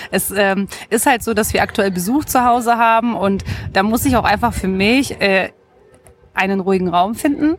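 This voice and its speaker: A woman's medium-pitched voice at a moderate pace, with ordinary pitch variation, very even loudness, and music in the background. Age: 30s. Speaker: blogger and mother. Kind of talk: interview.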